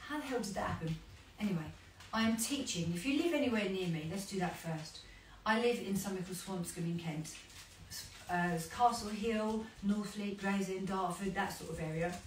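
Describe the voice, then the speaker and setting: Over noticeable background noise and audible room echo, a woman speaks at a fairly quick pace and medium pitch with ordinary pitch variation. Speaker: fitness instructor. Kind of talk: casual chat while exercising. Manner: fast; animated.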